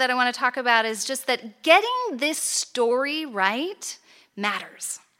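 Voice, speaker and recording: An American-accented woman, in a raised, projected voice, makes very wide pitch swings at a moderate pace. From United States. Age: 40s. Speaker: conference speaker. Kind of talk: conference talk. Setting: stage with audience.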